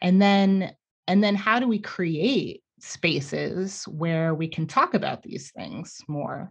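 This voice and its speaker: A woman with an American accent speaks very slowly and somewhat breathily at a medium pitch, with ordinary pitch variation over a quiet background. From New York City. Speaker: scientist and educator. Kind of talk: casual interview conversation. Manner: halting, with many repeated words.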